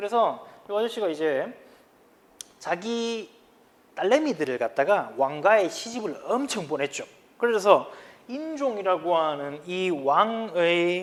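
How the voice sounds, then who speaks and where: A high-pitched man with a strong Gyeongsang accent, a very slow pace, very wide pitch swings, and long, frequent pauses. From Gyeongsang region, South Korea. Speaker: high school history teacher. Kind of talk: lecture. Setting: recorded video lesson. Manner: casual, conversational.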